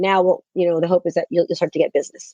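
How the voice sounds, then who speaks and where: A woman's voice, dry and close with no echo. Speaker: real estate coach. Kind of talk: podcast interview. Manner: high energy; animated.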